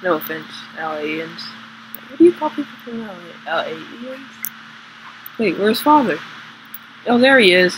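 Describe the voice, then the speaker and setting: A fairly slow delivery broken by long, frequent pauses, with noticeable background noise. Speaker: gaming youtuber. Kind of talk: casual gameplay commentary. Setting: home recording, screen capture. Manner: filler-heavy, halting.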